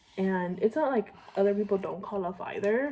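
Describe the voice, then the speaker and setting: Noticeable background noise sits behind a woman whose voice moves in very wide pitch swings. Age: 20s. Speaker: vlogger, young mother. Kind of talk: casual get-ready-with-me vlog chat. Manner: fast; chatty, filler-heavy.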